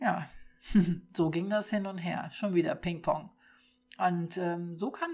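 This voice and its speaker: Somewhat breathy and fairly low in pitch, a woman speaks at a fairly slow pace with ordinary pitch variation. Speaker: podcast host. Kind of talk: personal testimony monologue.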